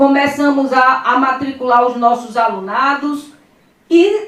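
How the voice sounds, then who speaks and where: Loud and high-pitched, a woman speaks at a very slow pace with audible room echo. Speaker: politician. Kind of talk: press conference. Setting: press conference room with audience.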